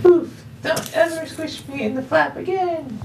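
A put-on character voice is pitched high. Background noise comes through clearly. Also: moderate pace. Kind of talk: casual vlog chat, reading a note aloud. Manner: complaining, squished.

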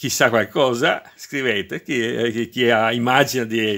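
A man speaking very slowly in a bright, sharp tone over a quiet background. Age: 60s. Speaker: retired electrician, DIY video maker. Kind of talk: tutorial; casual tutorial explanation. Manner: halting, repeats words. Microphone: phone near.

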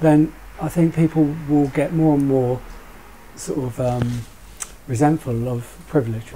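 With a British accent, a man speaks in a fairly high pitch at a fairly slow pace, using fairly even intonation and long, frequent pauses over light background noise. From UK. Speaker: currency trader; panel discussant. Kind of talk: roundtable discussion. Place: shop.

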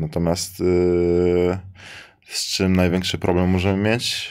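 Against a quiet background, a man speaks with a very deep, low voice. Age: 20s. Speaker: professional basketball player; guest. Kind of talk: casual interview. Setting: live studio at a sports arena. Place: studio. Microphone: studio mic.

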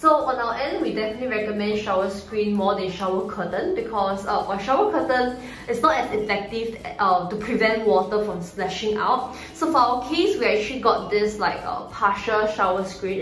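A woman's voice with ordinary pitch variation and hardly any pauses, plus audible room echo and light background noise. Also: moderate pace. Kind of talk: casual tutorial. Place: bathroom. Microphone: phone near.

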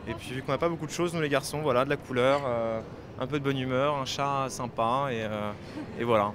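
Over noticeable background noise, a man talks at a fairly quick pace with fairly even intonation and a dry sound with no echo. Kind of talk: interview answer. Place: hall. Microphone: handheld.

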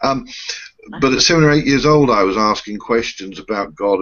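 The speaker has a British accent and ordinary pitch variation. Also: man. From UK. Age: 50s. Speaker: reverend and spiritual show co-host; spiritual show co-host. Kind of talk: casual chat. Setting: video call. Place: home room. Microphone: webcam.

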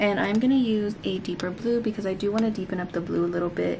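A woman speaks at a very fast pace with ordinary pitch variation. There is noticeable background noise. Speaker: beauty YouTuber. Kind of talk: makeup tutorial; personal talk to camera. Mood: warm, upbeat. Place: home room. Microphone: phone near.

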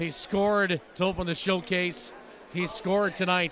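A raised, projected voice with an animated tone at a fairly slow pace, over noticeable background noise. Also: man. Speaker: radio play-by-play announcer. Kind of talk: live sports play-by-play commentary. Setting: radio broadcast from arena. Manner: animated, spiking in excitement on goals.

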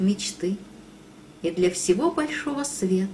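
Her intonation is lively. This woman talks very slowly. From Russia. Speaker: poet. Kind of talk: poetry reading.

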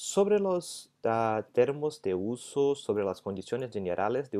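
With a Portuguese accent and a dark, mellow tone, a man speaks in very wide pitch swings against a quiet background. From Brazil. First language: Portuguese (speaking Spanish). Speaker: legal scholar. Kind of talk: lecture; interview answer. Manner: halting. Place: home room. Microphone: earbuds.

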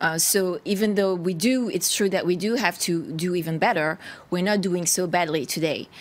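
In a French accent, a woman speaks at a moderate pace with a fairly low pitch, ordinary pitch variation and very even loudness. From France. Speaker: party spokesperson. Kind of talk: televised panel debate. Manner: halting, with many repetitions. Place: studio.

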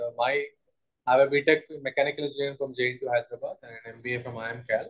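Against a quiet background, a man talks at a fairly quick pace in a monotone, flat intonation. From India. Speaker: startup founder. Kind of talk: pitch presentation. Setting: video call. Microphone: video call.

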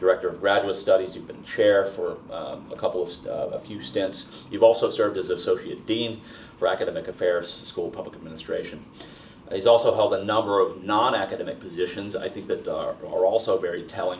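A man speaks at a fairly quick pace, his loudness swinging widely. Light background noise is audible. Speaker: interviewer. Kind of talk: oral history interview. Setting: filmed interview in Baltimore. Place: home room.

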